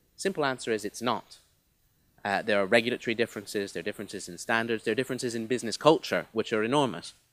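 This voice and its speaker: A man's very fast speech with a slight mid-Atlantic accent, dry and close with no echo, in a very clean recording with a silent background. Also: medium pitch for a man, ordinary pitch variation. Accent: slightly mid-Atlantic. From US and UK (half each). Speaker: business leader speaking on trade. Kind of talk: conference speech. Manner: hesitant repetitions.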